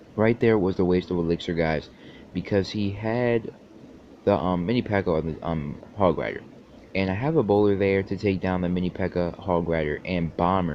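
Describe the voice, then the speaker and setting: Moderate pacing from a man with a very deep, low pitch. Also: ordinary pitch variation. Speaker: gaming YouTuber. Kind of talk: gameplay commentary.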